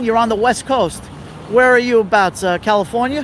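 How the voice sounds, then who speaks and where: Noticeable background noise fills the recording. The voice comes with an American accent. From New York City. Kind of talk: live walking tour stream. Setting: outdoors, city street. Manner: casual, friendly.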